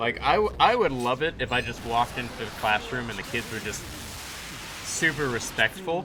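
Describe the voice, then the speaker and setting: Noticeable background noise is present throughout. The speech moves at a moderate pace with lively intonation. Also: man, medium pitch for a man. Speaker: gaming streamer and teacher. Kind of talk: casual chat. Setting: live stream. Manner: halting.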